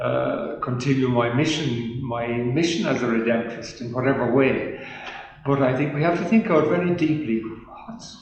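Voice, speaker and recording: Noticeable background noise and audible room echo surround the recording. A man with a fairly high pitch speaks at a moderate pace and with lively intonation. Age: 80s+. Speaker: priest. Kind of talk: testimony. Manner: halting.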